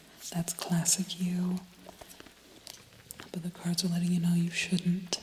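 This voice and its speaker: Soft-spoken and calm in tone, the voice moves at a moderate pace against noticeable background noise. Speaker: tarot reader. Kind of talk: ASMR tarot reading. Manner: soft-spoken, calm.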